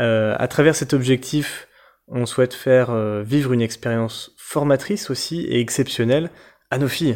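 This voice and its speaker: Here a man speaks at a medium pitch with ordinary pitch variation. The recording is very clean, with a silent background. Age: 30s. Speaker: travel podcaster, engineer. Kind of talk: casual self-introduction. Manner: halting, with many fillers.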